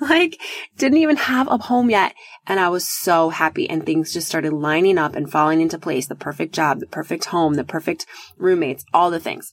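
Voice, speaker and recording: An animated woman with an American accent speaks at a fairly quick pace. Her fairly low voice carries lively intonation. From US Midwest. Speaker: podcast host, love coach. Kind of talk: solo podcast monologue.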